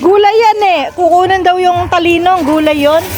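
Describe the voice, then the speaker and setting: Noticeable background noise accompanies a woman whose tone is animated. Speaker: vlogger. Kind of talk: casual chat. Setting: outdoors.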